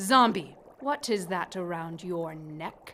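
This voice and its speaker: At a fairly slow pace, a female-sounding put-on character voice holds a medium pitch. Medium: audio drama. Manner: curt, imperious.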